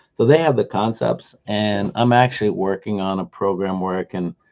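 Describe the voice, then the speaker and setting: Against a quiet background, a man with a fairly low pitch talks in an ordinary speaking voice. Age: 60s. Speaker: day trader and trading teacher. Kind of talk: live trading stream chat. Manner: casual, conversational with fillers.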